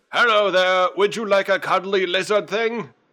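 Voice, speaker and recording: A man's guttural, high-pitched put-on character voice at a moderate pace, on a very clean recording with a silent background. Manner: friendly, cheerful sales pitch.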